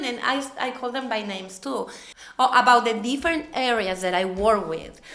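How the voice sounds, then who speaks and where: A woman with a non-native accent speaks at a high pitch and a moderate pace. Noticeable background noise runs under her voice. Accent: non-native English speaker. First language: not English. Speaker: materials supervisor at a food packaging company. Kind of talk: podcast interview answer. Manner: bright, positive.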